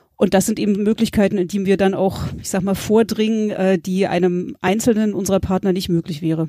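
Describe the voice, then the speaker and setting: Keeping a fairly even intonation, a woman talks at a moderate pace with a dark, mellow tone in a medium pitch. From Berlin, Germany. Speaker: peatland scientist. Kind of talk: interview. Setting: video call from home.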